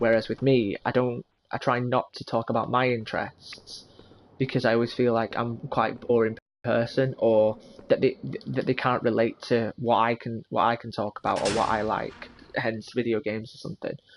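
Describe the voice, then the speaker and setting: The sound is dry and close, with no echo. A man talks at a moderate pace and medium pitch, his intonation monotone and flat. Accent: English. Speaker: gaming YouTuber. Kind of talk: let's play commentary. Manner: loud; halting.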